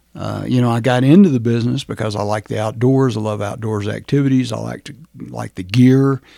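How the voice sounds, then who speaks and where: With an American accent, a man speaks in a dark, mellow, medium-pitched voice at a moderate pace with ordinary pitch variation. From US South, rural Georgia. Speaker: county commissioner and retired naval officer. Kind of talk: casual interview.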